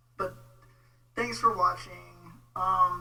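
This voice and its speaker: A man talks at a fairly slow pace while noticeable background noise continues. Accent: American. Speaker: online commentator on theology. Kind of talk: casual rant video. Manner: informal, hesitant with many fillers.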